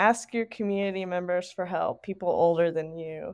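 In a Southern US accent, a woman speaks with fairly even intonation over a quiet background. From Tennessee. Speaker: college hockey club president. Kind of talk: casual interview.

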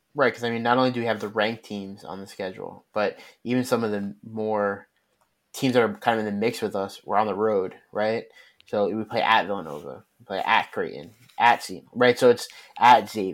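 A man with a plain, everyday voice speaks at a fairly low pitch and fairly quick pace, with ordinary pitch variation and big swings in loudness, in a very clean recording against a silent background. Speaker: podcast co-host. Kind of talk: casual sports podcast discussion.

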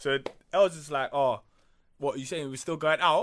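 With a London accent, a man speaks at a moderate pace in a fairly high pitch, his tone bright and sharp and his pitch variation ordinary. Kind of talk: casual chat.

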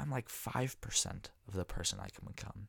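A man speaks at a moderate pace with a Californian accent, lively intonation and vocal fry. The sound is dry and close, with no echo. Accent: Californian American. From US West, San Francisco Bay Area. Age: 20s. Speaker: podcast host, college student. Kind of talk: solo monologue podcast. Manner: casual with many fillers.

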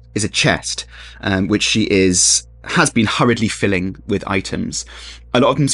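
What you hear is a natural reading voice.

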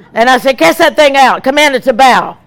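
A woman speaks at a high pitch in an animated tone. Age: 70s. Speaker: evangelist. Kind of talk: sermon. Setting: stage with audience.

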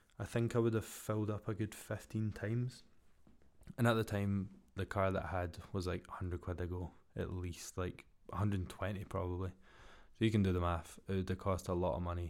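Very clean, silent-background recording of a man with a very deep, low pitch and fairly even intonation. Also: fairly quick pace. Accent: Glaswegian. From Scotland, Glasgow. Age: 20s. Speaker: podcast host, builder. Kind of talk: casual solo monologue. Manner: monotone.

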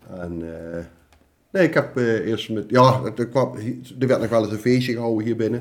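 Here a man has an unremarkable speaking voice at medium pitch. His pace is moderate and his pitch variation ordinary. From Gelderland, Netherlands (Oosthout, Betuwe). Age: 50s. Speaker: carnival prince. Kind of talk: casual chat. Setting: kitchen table.

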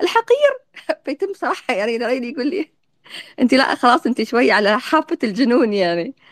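A woman's high voice with an Emirati accent, very wide pitch swings and a moderate pace. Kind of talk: interview on audio live space. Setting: online audio room.

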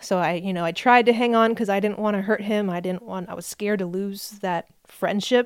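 Woman with a plain, everyday voice and an American accent, medium in pitch, fairly even in intonation, moderately paced, on a very clean recording with a silent background. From New Jersey. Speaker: former missionary. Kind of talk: testimony.

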